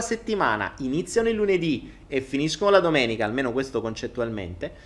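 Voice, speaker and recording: A man delivers his words fairly quickly. Very wide swings mark his pitch. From Italy. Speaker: online content creator and entrepreneur. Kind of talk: live stream monologue. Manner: animated. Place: home room. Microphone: handheld.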